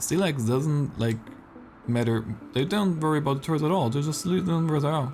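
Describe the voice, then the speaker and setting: A man with a non-native accent speaks at a fairly high pitch while music plays in the background. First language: not English. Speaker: esports caster. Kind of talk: live commentary. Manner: casual, halting.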